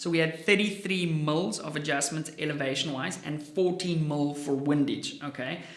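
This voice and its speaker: Animated delivery in an Afrikaans accent at a moderate pace, hardly any pauses, over noticeable background noise. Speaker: firearms gear reviewer. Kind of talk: product review vlog.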